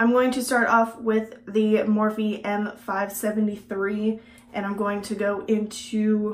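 A woman with an American accent and a fairly high pitch, at a fairly slow pace, with audible room echo. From Texas. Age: 20s. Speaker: beauty vlogger. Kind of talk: casual vlog and makeup tutorial; casual vlog chat. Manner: casual, with many fillers. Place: home room.

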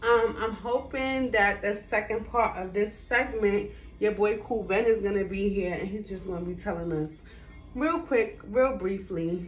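Somewhat breathy female voice, ordinary pitch variation, moderate pace. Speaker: fashion vlogger. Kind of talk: casual try-on haul chat. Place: home room. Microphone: camera far.

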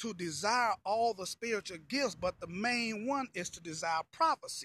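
At a moderate pace, a raised, projected voice with a bright, sharp tone and lively intonation comes through dry, with no echo. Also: man. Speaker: pastor. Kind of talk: sermon-style motivational talk to camera. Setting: outdoors, walking. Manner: casual, conversational, repetitive phrasing. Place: street. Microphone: phone near.

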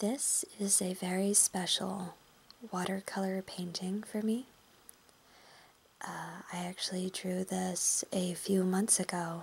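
A soft-spoken woman talks at a very slow pace in a monotone, flat intonation, with long, frequent pauses. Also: medium pitch for a woman. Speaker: ASMR artist. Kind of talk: ASMR intro talk.

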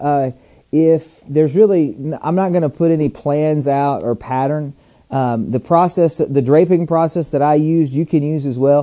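A man speaks at a moderate pace in a dark, mellow tone. The background is quiet. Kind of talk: tutorial.

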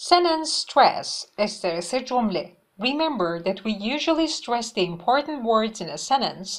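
The talking moves at a moderate pace. Its pitch rises and falls very widely. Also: woman. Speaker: English teacher. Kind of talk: tutorial.

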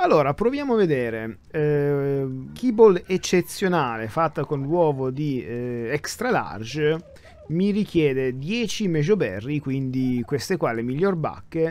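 A man's fairly high voice with very wide pitch swings, at a very slow pace over noticeable background noise. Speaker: gaming YouTuber. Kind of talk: gameplay commentary. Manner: soft-spoken; halting.

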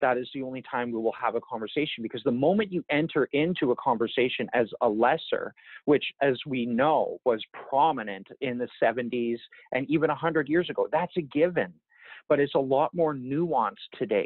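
A man's fairly high voice at a moderate pace, ordinary pitch variation, dry sound with no echo, and a quiet background. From Yukon, northern Canada. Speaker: First Nation chief; interviewee. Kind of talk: interview. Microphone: earbuds.

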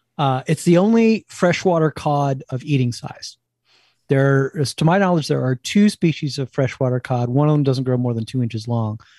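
A man speaks with an East Coast US accent at a moderate pace and a fairly high pitch. His tone is dark and mellow, with a dry, close sound and no echo. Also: lively intonation, very clean recording, silent background. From New Jersey, near New York. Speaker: cookbook author and wild food cook. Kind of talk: interview.

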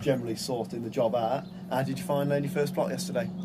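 At a fast pace, a man talks in a medium pitch. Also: fairly even intonation.

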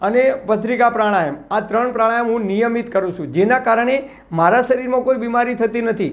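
A man speaks at an extremely high pitch with ordinary pitch variation. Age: 50s. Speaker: YouTuber giving health advice. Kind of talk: monologue to camera; instructional talk to camera. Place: studio. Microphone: lapel.

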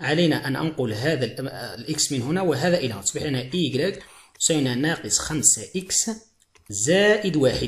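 A man's fairly high, somewhat breathy voice moves with lively intonation. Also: moderate pace. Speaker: math teacher. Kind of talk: video lesson tutorial. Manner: repetitive, emphatic teaching.

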